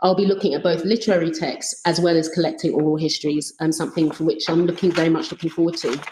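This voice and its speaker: In a London accent, the speaker rushes along at a very fast pace with hardly any pauses. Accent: British (London). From London, England. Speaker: researcher. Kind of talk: conference presentation. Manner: halting.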